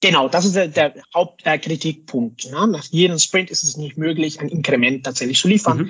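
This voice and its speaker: A man speaks at a fairly high pitch with ordinary pitch variation. His pace is moderate, with hardly any pauses. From Mexico. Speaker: scrum master and hardware designer. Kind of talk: interview. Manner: hesitant, many fillers.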